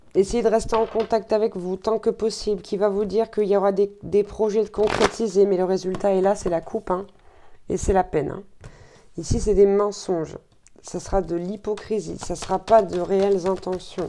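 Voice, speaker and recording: A woman's dark, mellow tone at a medium pitch, monotone and flat in intonation, at a moderate pace. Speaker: tarot card reader. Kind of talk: tarot guidance reading. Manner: hesitant with fillers.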